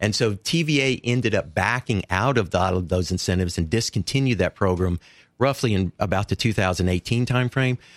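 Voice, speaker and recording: On a very clean, dry, close recording with a silent background and no echo, a man with an East Tennessee accent speaks at a moderate pace in a fairly low voice, with ordinary pitch variation and very even loudness. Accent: Southern US (East Tennessee). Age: 60s. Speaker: clean energy advocate. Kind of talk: interview.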